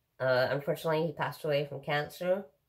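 Against a quiet background, a woman speaks with a very deep, low pitch and ordinary pitch variation. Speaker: daily vlogger. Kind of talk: casual vlog chat. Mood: relaxed, laughing at times. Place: home room. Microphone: phone near.

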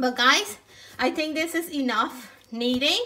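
Speaking very slowly, a woman delivers her words. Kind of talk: casual cooking tutorial chat. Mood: relaxed, content. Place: kitchen. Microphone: phone near.

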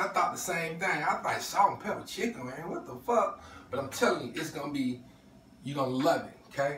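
A man talking at a fairly quick pace over light background noise, with audible room echo. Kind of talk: casual cooking vlog chat. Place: kitchen.

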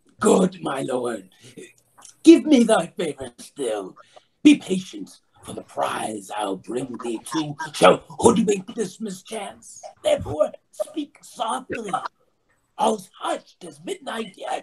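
Whispering in a put-on character voice, the speaker moves at a fairly slow pace. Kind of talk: Shakespearean stage verse. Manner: urgent, whispering, fawning.

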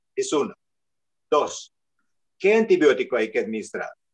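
Against a quiet background, a man with a non-native accent talks at a moderate pace. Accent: foreign accent in Spanish. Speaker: surgeon, panelist; panelist. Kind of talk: panel discussion. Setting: video call. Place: office. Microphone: video call.

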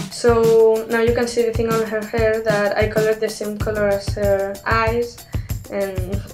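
Music plays in the background as the speaker talks at a moderate pace with a Spanish accent. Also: woman. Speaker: artist. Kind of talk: speedpaint voiceover commentary.

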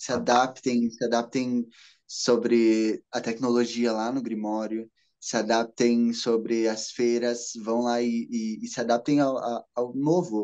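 A man speaks very slowly in a dark, mellow tone with monotone, flat intonation. The background is quiet. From Brazil, interior of Paraná. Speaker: witchcraft content creator. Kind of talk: casual chat. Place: home room. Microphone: video call.

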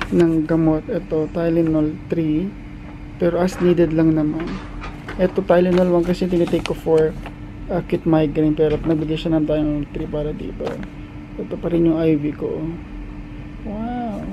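Fairly even intonation at a moderate pace, with long, frequent pauses and noticeable background noise. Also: man, high pitch for a man. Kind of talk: casual vlog chat. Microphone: phone near.

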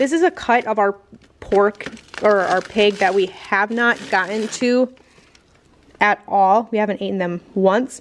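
A woman at a fairly slow pace, with long, frequent pauses, ordinary pitch variation and light background noise. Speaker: homesteader vlogger. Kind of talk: casual vlog chat. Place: garage. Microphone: phone near.

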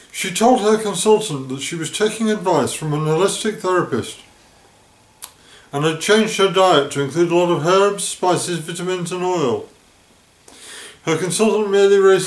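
Audible room echo surrounds a man speaking at a moderate pace in a high voice with ordinary pitch variation. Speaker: vlogger. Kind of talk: narrated vlog account. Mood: serious, earnest. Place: home room.

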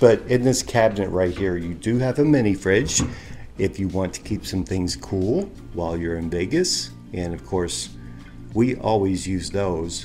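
Clear music plays behind a man with a very deep, low pitch. He talks at a moderate pace. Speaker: travel vlogger. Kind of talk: casual vlog chat. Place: home room. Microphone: phone near.

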